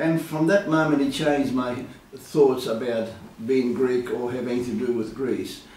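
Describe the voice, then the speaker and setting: A man with an Australian accent talks at a fairly slow pace and medium pitch with ordinary pitch variation, amid noticeable background noise and audible room echo. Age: 70s. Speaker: retired insurance broker and community leader. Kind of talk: interview. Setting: his office. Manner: hesitant, many fillers.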